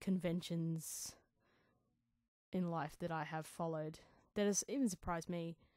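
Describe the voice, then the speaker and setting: A woman's mumbling voice, fairly low in pitch, with fairly even intonation, on a very clean recording with a silent background. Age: 30s. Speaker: podcast host, songwriter and vocalist. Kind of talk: casual solo podcast monologue. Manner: rambling, thinking out loud.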